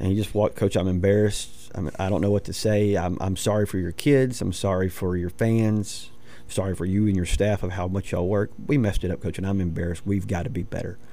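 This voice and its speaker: With an American accent, a man talks very fast with hardly any pauses, his fairly low voice dark and mellow in tone and ordinary in pitch variation. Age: 40s. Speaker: high school football coach. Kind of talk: sports radio interview.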